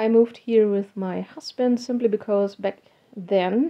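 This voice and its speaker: Fairly slow speech from a woman with a German accent, fairly high in pitch, with ordinary pitch variation. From Germany. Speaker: hobby artist and technical translator. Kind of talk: casual vlog talk.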